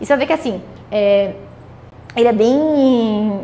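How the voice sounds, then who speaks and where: Against noticeable background noise and audible room echo, a woman speaks in a high voice with an animated tone and lively intonation. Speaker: economics teacher. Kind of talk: lecture. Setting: classroom with students, also streamed. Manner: fast.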